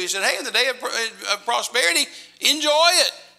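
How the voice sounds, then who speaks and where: With an American accent, a man uses a raised, projected voice at an extremely high pitch with lively intonation. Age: 70s. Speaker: missionary evangelist. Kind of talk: sermon. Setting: church with congregation.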